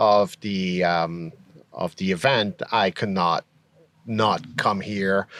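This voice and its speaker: A man speaks in a Quebec accent. The sound is dry and close with no echo, and the background is quiet. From Quebec, Montreal. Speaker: camper vendor. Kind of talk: casual interview. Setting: at an outdoor camping event.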